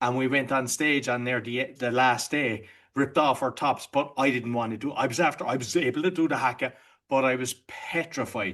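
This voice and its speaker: With an Irish accent, a man talks at a medium pitch and with fairly even intonation. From Ireland. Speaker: entrepreneur and podcaster. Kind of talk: podcast interview.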